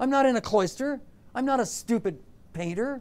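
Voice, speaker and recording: A man's extremely high-pitched voice, with lively intonation at a moderate pace. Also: very clean recording, silent background. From southern Ontario, Canada. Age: 60s. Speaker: artist. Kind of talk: interview. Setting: classroom with audience. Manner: animated.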